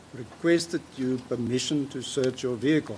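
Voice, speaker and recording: The man's voice is somewhat breathy and medium in pitch. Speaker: prosecutor cross-examining witness. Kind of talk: courtroom cross-examination. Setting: courtroom. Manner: soft-spoken.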